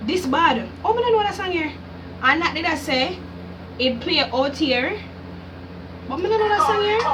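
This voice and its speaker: In a Jamaican accent, a woman speaks at an extremely high pitch with very wide pitch swings, an animated tone, a moderate pace and long, frequent pauses, amid audible room echo and noticeable background noise. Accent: Jamaican patois-inflected English. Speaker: YouTuber, music reactor. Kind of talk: casual vlog reaction.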